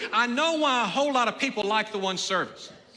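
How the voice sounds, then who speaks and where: With an American accent, a man speaks at a very fast pace in an extremely high pitch, his raised, projected voice bright and sharp in tone amid audible room echo. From Texas (Nederland, southeast Texas). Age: 60s. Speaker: pastor. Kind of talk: sermon. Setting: church.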